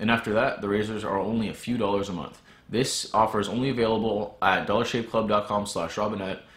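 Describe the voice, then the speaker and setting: This man talks at a fairly quick pace in a fairly low voice. Room echo is audible. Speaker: outdoor vlogger. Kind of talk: sponsor read. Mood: upbeat, joking. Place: home room.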